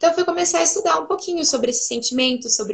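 The voice belongs to a woman. Her pitch rises and falls across a very wide range. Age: 20s. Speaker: pedagogue and preschool teacher. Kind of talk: casual chat.

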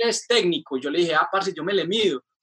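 A man's raised, projected voice, high-pitched and bright with a sharp tone, with ordinary pitch variation and a fairly quick pace. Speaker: musician. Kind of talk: casual chat.

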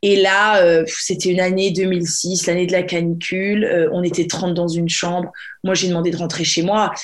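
At a moderate pace, a woman talks at a medium pitch, with audible room echo in the recording. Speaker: podcast host. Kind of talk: casual chat.

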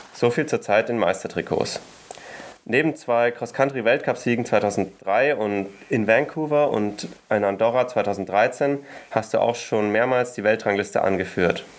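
Over noticeable background noise, a man speaks at a fairly slow pace and medium pitch, with ordinary pitch variation. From Germany. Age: 20s. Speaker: podcast co-host and cross-country racer. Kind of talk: interview.

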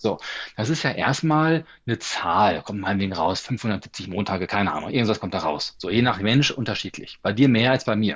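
With an unremarkable speaking voice, a man talks at a moderate pace, his fairly low pitch carrying lively intonation. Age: 40s. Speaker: stress management coach and speaker. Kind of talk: interview.

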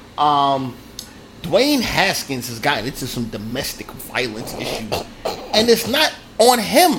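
Over noticeable background noise, a man speaks at a fairly slow pace with a fairly high pitch. His pitch swings very widely, and his loudness shifts a lot. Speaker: sports podcast host. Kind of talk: angry profane rant. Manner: loud, furious, insulting, shouting; emphatic, punchy, list-like (First of all, Secondly, Third).

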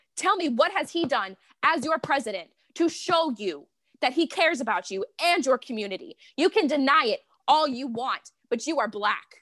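A woman's high voice, bright and sharp in tone, swings very widely in pitch. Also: moderate pace. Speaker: podcast co-host. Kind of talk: casual chat.

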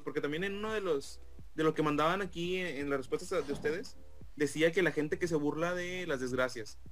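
Speaking at a fairly quick pace, a man uses a high-pitched voice with ordinary pitch variation. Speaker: podcast co-host. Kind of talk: casual chat.

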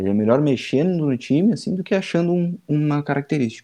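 A man talks at a very fast pace in a fairly high pitch with a dark, mellow tone. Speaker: football podcast panelist. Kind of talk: casual chat.

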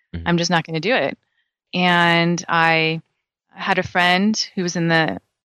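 A woman with a fairly low pitch speaks in an American accent, her tone bright and sharp and her intonation fairly even. The sound is dry and close with no echo, and the recording is very clean over a silent background. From California. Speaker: dermatologist. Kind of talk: interview.

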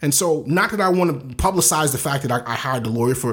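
Someone with an American accent speaks at a very fast pace, using vocal fry and lively intonation. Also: man. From US East Coast, inner-city Baltimore. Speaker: photographer and videographer, business owner. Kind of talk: casual interview. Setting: Facebook Live video podcast.

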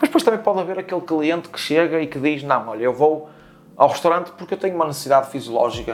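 At a very fast pace, a man talks in a fairly high voice. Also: ordinary pitch variation. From Portugal, Porto. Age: 30s. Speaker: chef. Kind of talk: interview.

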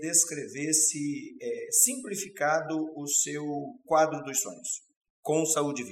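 A man with a fairly high pitch talks at a fairly slow pace in a plain, everyday voice. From Paraná, Brazil. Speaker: company interview host. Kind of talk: interview. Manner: formal.

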